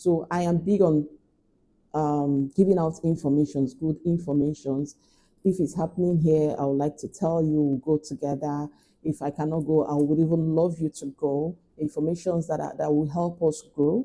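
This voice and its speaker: A woman speaks with a Nigerian accent at a moderate pace, her pitch very deep and low. Her tone is dark and mellow, and her intonation stays fairly even. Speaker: lifestyle vlogger. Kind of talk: casual chat.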